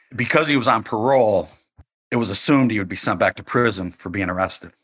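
A man talks at a fairly quick pace with ordinary pitch variation, and the sound is dry and close with no echo. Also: quiet background. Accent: American. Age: 50s. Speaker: journalist and author. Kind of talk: interview.

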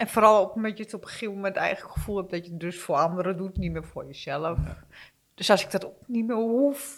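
A woman speaks at a fairly quick pace in a medium pitch. Her pitch variation is ordinary, but her loudness swings widely. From eastern Netherlands. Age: 50s. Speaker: guest sharing personal struggle. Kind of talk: testimony. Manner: halting.

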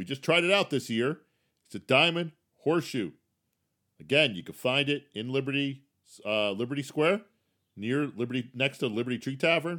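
Speaking in a bright, sharp tone with a fairly high pitch and lively intonation, a man keeps a moderate pace with long, frequent pauses in a very clean recording with a silent background. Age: 50s. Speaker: podcast host. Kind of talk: solo podcast tips monologue. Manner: casual, conversational.

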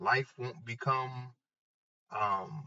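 This is a man speaking. His tone is animated. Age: 30s. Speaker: podcast host. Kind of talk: motivational monologue.

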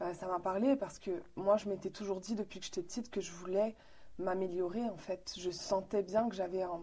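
Fairly quick and fairly even in intonation, a woman speaks at a medium pitch with a dark, mellow tone. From Morocco, then Quebec from age 13. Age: 30s. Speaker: philosophy school volunteer. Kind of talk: interview.

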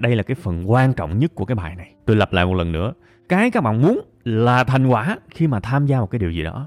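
Here a man of medium pitch talks very fast. His pitch swings very widely. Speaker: podcast host. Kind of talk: monologue podcast episode, advice talk. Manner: conversational, earnest, motivational.

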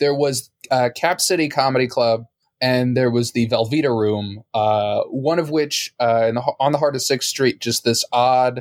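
At a fairly slow pace, a man with an American accent speaks at medium pitch and fairly even intonation, the sound dry and close with no echo. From Texas. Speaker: comedian. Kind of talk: casual chat. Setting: video call. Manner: halting.

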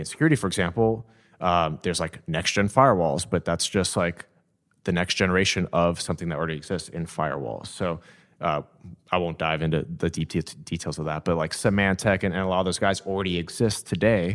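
Very deep, low male speech on a very clean recording, background silent. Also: ordinary pitch variation, fairly quick pace. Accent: Californian. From Southern California (Downey). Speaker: venture capital investor. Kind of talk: interview.

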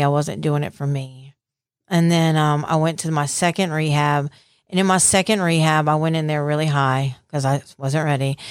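In a Southern US accent, a woman with a very deep, low pitch speaks at a moderate pace on a very clean recording with a silent background. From US South (Mississippi Gulf Coast). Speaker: recovered addict. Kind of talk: testimony.

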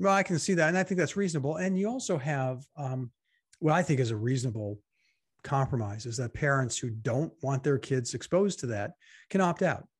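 A man speaks at a fairly quick pace, somewhat breathy with lively intonation, against a quiet background. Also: fairly high pitch for a man. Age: 60s. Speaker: podcast co-host, political commentator. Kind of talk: casual political chat.

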